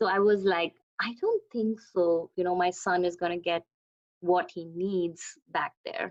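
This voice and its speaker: Her pitch medium and her intonation monotone and flat, a woman speaks at a fairly slow pace in a dry, close sound with no echo. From India. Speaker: dance teacher. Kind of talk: interview. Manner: halting.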